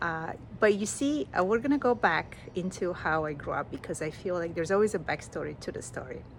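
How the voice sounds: A woman talks at a fairly quick pace, her fairly low pitch showing ordinary variation.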